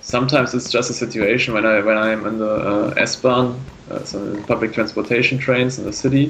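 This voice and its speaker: A man with a German accent talks at a fairly quick pace in a medium pitch. His intonation is flat and monotone, with noticeable background noise behind him. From northern Germany. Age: 20s. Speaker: artist and plant biology student. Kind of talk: interview. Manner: halting.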